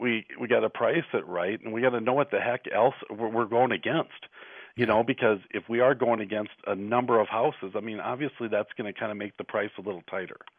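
A man speaks in a normal speaking voice with an American accent, his pitch medium. He moves at a fairly quick pace with fairly even intonation. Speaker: real estate agent, radio co-host. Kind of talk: casual radio talk show chat. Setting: phone call.

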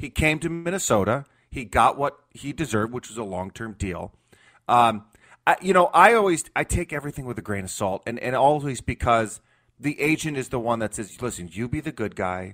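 A man's normal speaking voice at a medium pitch, fairly quick, with lively intonation, big swings in loudness and a dry, close sound with no echo. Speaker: sports journalist. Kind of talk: casual chat.

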